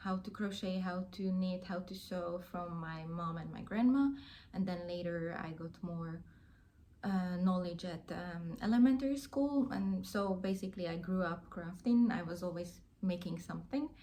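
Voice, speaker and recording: A woman with a Hungarian accent speaks at a fairly slow pace and medium pitch, with ordinary pitch variation. Her somewhat breathy voice has a dark, mellow tone, and there is audible room echo. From Hungary. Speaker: crafting YouTuber. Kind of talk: casual vlog chat. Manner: hesitant, many fillers.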